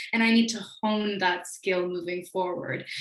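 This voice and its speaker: A woman speaks at a medium pitch and a moderate pace, her intonation flat and monotone. Noticeable background noise sits behind her. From Beijing, China. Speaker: panelist, former international student. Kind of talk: panel talk.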